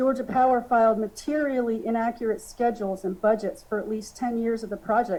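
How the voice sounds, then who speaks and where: The voice has a dark, mellow tone and sounds shaky, moving at a fairly quick pace with fairly even intonation. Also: woman. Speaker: expert witness. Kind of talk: testimony. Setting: public hearing. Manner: shaky voice.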